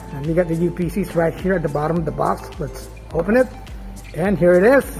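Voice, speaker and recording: Someone talks at a very fast pace while music plays in the background. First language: not English. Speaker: gadget vlogger. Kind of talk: casual talk to camera. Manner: casual, hesitant with fillers.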